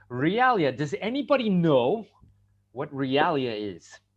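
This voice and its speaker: A man talks at a fairly slow pace with an American accent. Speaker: English teacher trainer. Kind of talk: online teacher workshop. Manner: animated; clear.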